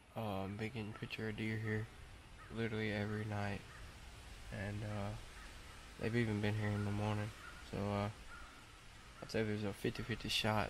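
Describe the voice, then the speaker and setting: With long, frequent pauses, a man speaks at a moderate pace in a monotone, flat intonation, the sound dry with no echo and the background noise noticeable. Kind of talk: casual vlog chat. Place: forest.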